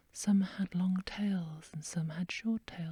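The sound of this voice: Reading done in an unforced voice.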